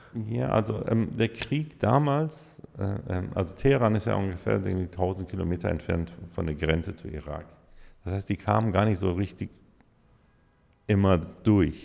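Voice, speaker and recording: A man with a very deep, low voice and lively intonation speaks at a moderate pace, leaving long, frequent pauses. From Iran. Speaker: DJ and music producer. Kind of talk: interview answer.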